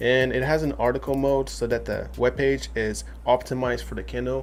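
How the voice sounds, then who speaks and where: Speaking with a non-native accent, a man keeps a fairly quick pace. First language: not English. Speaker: tech reviewer. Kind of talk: product review. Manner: casual with fillers.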